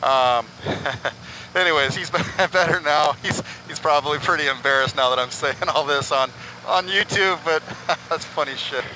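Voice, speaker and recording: A man speaks at a moderate pace with long, frequent pauses and ordinary pitch variation, the sound dry with no echo and light background noise behind him. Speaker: motorcycle vlogger. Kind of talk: casual vlog chat. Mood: amused, relieved, excited. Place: motorbike. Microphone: helmet.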